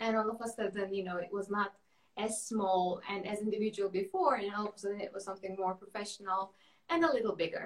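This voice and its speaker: Over noticeable background noise, a woman talks at a very fast pace in a medium-pitched voice with fairly even intonation. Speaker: architect, studio cofounder. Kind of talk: interview. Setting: video call.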